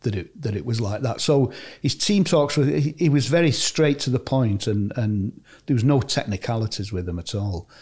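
A man's somewhat breathy, dark and mellow voice, medium in pitch, with lively intonation at a moderate pace. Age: 70s. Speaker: retired footballer. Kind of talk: interview. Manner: warm storytelling.

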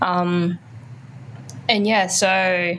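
There is noticeable background noise as a woman with an Australian accent speaks at medium pitch. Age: 20s. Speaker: music journalist and youth charity ambassador. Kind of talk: interview.

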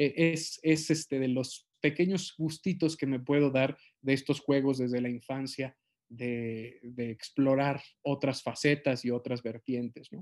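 At a fairly slow pace, a man with a Mexican accent talks at medium pitch with fairly even intonation. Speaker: actor. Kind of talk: interview.

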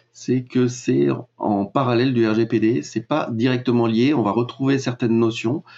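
Speaking at a fairly slow pace, a man keeps his loudness very even, with a medium pitch and ordinary pitch variation. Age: 40s. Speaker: web marketing and data privacy consultant. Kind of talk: interview. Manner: hesitant, many filler sounds.

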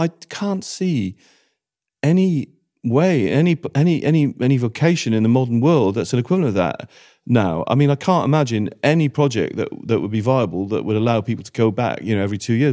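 With a Welsh accent, a man talks at a very fast pace in a dark, mellow tone, his pitch swinging very widely. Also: very clean recording, silent background. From Wales. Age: 50s. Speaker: former travel writer and radio presenter. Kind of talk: casual interview conversation. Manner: repetitive stammering restarts.

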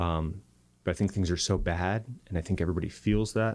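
A man with an American accent and a very deep, low pitch talks at a very fast pace with fairly even intonation, on a very clean recording with a silent background. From Arizona. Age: 30s. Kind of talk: casual interview conversation.

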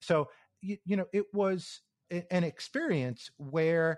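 Recorded in a dry, close sound with no echo and a quiet background, a man speaks with an American accent. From US East Coast, New York area. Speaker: software engineer. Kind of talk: interview. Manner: halting, repeats words.

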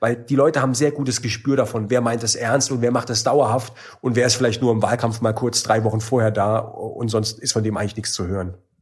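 A man speaks somewhat breathily. His pace is fairly quick. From Baden-Württemberg, Germany. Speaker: member of parliament. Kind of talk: interview. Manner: casual, many fillers.

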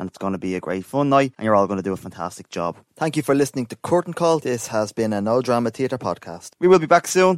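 With a medium pitch and lively intonation, a man speaks in an Irish accent on a very clean recording with a silent background. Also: dry, close sound with no echo. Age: 30s. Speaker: podcast host for amateur theatre group. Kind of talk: interview.

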